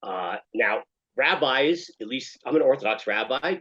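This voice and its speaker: A man with an American accent speaks at a moderate pace. His is an unremarkable speaking voice with lively intonation. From United States. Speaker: rabbi and therapist. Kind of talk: interview.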